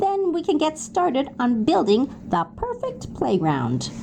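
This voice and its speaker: A woman puts on a high-pitched character voice. She speaks at a moderate pace over clear background noise. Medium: read story. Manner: jolly, warm.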